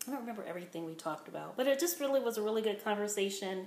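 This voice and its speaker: Woman with lively intonation, audible room echo and noticeable background noise. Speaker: weight-loss vlogger. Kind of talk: casual vlog monologue. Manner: rambling with fillers.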